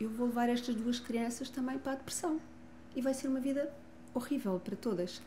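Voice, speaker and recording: A woman talks at a moderate pace in a European Portuguese accent. Her tone is dark and mellow, and audible room echo surrounds it. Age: 60s. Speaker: family constellation therapist and author. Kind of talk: interview testimony. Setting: gym.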